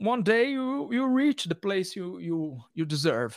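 With a Portuguese accent, a man with a high pitch and lively intonation is heard in a very clean recording with a silent background. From Brazil. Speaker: metal musician. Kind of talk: interview. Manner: halting.

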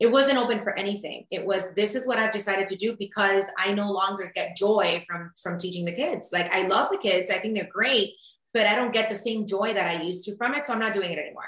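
A very fast pace with hardly any pauses, ordinary pitch variation, and a Spanish accent. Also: woman, medium pitch for a woman. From Cuba, moved to US at 10. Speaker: mindset coach and media personality. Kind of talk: casual interview chat.

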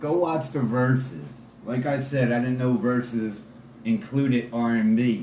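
With an American accent, a man speaks at a fairly slow pace and medium pitch in an animated tone, with ordinary pitch variation and very even loudness, amid audible room echo and noticeable background noise. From Philadelphia, Pennsylvania. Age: 40s. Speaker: hip hop fan guest. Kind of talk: casual interview chat.

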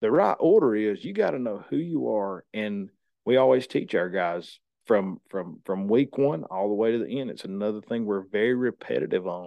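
A man with a north Georgia accent speaks at a fairly low pitch and a moderate pace. His pitch varies in an ordinary way. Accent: Southern US (north Georgia). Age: 30s. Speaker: lineman and training school owner. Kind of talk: casual interview.

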